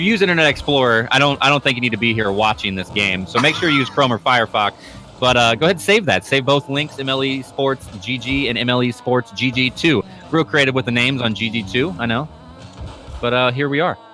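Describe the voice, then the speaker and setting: A man with an American accent at a very fast pace, medium pitch and ordinary pitch variation, with music in the background. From United States. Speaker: esports commentator. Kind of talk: live commentary. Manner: animated.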